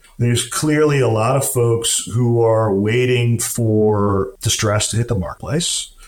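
A man talks at a fairly slow pace with hardly any pauses and fairly even intonation, over noticeable background noise. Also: medium pitch for a man, very even loudness. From US, military family, moved around. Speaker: real estate developer. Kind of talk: interview.

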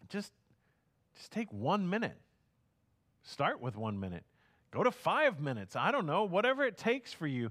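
A man with a high voice speaks at a moderate pace with very wide pitch swings, big swings in loudness and long, frequent pauses, in a very clean recording with a silent background. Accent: American. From Houston, Texas. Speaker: pastor. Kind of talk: sermon.

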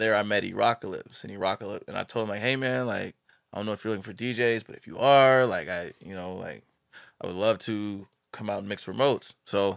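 In a very clean recording with a silent background, a man with an unremarkable speaking voice talks at a fairly quick pace, his fairly low pitch showing ordinary variation and his loudness swinging widely. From US Midwest, Missouri. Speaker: DJ. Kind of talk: casual chat.

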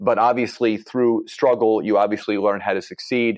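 A man rattles off his words at a very fast pace in an American accent. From Philadelphia, Pennsylvania. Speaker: entrepreneur and business coach. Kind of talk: podcast interview.

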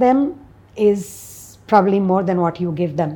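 With an Indian accent, a woman speaks at a fairly slow pace in a dark, mellow tone with ordinary pitch variation. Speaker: social entrepreneur. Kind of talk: interview.

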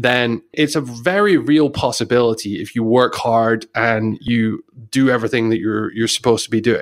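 A man with a British accent speaks at a moderate pace and a medium pitch, with ordinary pitch variation and hardly any pauses. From UK. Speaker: podcast co-host, online marketer. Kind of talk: casual chat.

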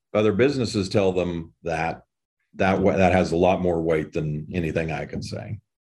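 A man with an American accent talks at a moderate pace, his very deep, low voice showing ordinary pitch variation. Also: quiet background. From southeastern Colorado (Holly). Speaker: economic development director and radio announcer. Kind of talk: interview conversation.

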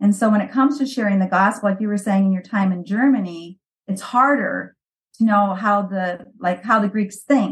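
A woman talks with a Midwestern US accent at a moderate pace and medium pitch. Her voice is somewhat breathy, with ordinary pitch variation. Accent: US Midwest. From US Midwest, Valparaiso Indiana. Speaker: missionary. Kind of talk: interview.

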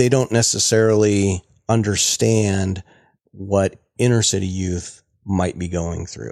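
A man talks in a normal speaking voice with a fairly low pitch. His intonation is fairly even and his pace fairly slow. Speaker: podcast host. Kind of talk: casual interview.

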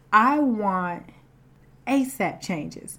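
With a Southern US accent, a woman speaks in lively intonation amid audible room echo. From US South. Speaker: podcast host. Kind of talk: inspirational faith talk. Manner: casual, conversational.

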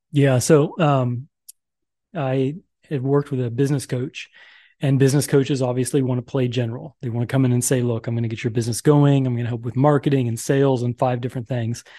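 A man's medium-pitched voice, dark and mellow in tone, at a very fast pace against a quiet background. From Oklahoma, raised in the Philippines from age eleven. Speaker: business coach. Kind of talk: interview. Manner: animated, big hand gestures.

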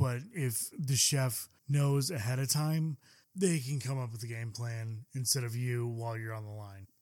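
A man with a normal speaking voice, medium pitch, ordinary pitch variation and a fairly slow pace. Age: 20s. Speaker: chef and podcast co-host. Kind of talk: casual chat.

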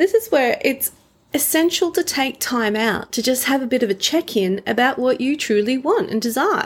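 A woman speaks in a plain, everyday voice at a moderate pace, her intonation lively. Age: 40s. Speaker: relationships podcast host. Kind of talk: solo podcast talk.

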